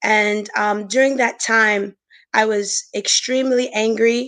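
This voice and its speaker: This woman has an unremarkable speaking voice with an American accent and a fairly high pitch. She speaks at a fairly slow pace over a quiet background. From Brooklyn, New York. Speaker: marriage and family therapist. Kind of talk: interview with personal testimony. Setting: virtual summit session.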